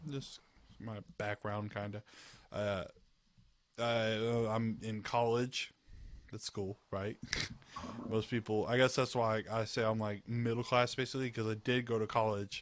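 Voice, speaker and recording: At a fairly slow pace and with long, frequent pauses, a man with a slight Southern US accent talks in a medium pitch with monotone, flat intonation. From US South, Georgia. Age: 20s. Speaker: gamer. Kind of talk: casual chat. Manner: halting.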